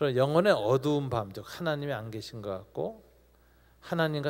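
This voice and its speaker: A man with an ordinary speaking voice, ordinary pitch variation and a moderate pace, on a very clean recording with a silent background. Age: 60s. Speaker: pastor. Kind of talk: Q&A at a youth talk concert.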